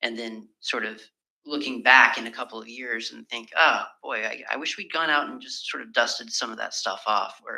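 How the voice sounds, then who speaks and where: A man with a medium pitch and a bright, sharp tone speaks at a moderate pace with fairly even intonation and vocal fry. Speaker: member of the public making a submission. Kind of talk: public submission at council hearing. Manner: casual, hesitant with fillers.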